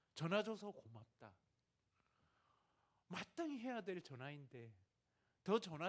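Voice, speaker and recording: A man's high-pitched voice at a very slow pace, with very wide pitch swings. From Gyeongsang, South Korea. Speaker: missionary. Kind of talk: sermon.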